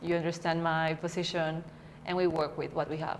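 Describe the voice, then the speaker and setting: A woman with a Spanish accent, fairly low in pitch, at a moderate pace with fairly even intonation. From Peru. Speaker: coaching student. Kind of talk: interview. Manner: halting.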